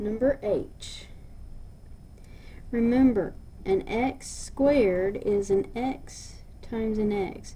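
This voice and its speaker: A woman with a fairly high pitch and a dark, mellow, somewhat breathy tone speaks at a very slow pace with long, frequent pauses and ordinary pitch variation. Audible room echo surrounds her voice. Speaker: math teacher. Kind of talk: lecture.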